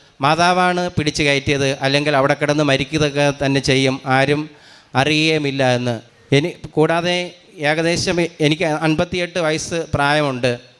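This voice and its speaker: In a normal speaking voice, a man talks at a fairly high pitch with fairly even intonation and very even loudness. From Kerala, Thiruvananthapuram district. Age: 50s. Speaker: retired school clerk and parish catechist. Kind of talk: religious testimony.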